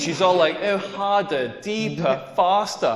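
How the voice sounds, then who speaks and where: A man's high-pitched, animated voice with a Scottish accent and lively intonation, at a fairly slow pace, with audible room echo and noticeable background noise. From rural Scotland. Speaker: comedian. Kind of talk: stand-up.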